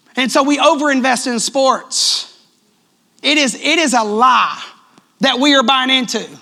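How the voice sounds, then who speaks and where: A loud, animated voice with a Southern US accent, at a fairly slow pace broken by long, frequent pauses. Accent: sounds country, Southern US. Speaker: pastor. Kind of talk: sermon. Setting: church.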